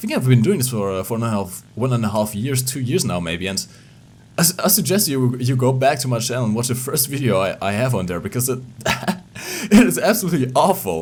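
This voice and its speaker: Speaking with a non-native accent, a man at medium pitch races along at a very fast pace with very wide pitch swings. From Portugal. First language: Portuguese. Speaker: gaming YouTuber. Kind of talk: casual vlog. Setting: home recording at PC. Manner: halting, many repetitions; animated.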